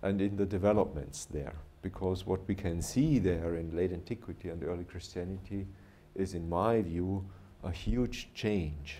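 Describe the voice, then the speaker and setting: Speaking with a German accent at a moderate pace, a man has a very deep, low pitch and a dark, mellow tone, with audible room echo. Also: ordinary pitch variation. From southern Germany, Bavaria. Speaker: professor. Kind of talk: lecture. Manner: halting, pausing for interpreter.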